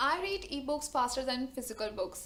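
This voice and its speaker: A high-pitched woman's voice with an Indian accent. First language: not English. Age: 20s. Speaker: book vlogger. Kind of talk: casual talk to camera. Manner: nervous.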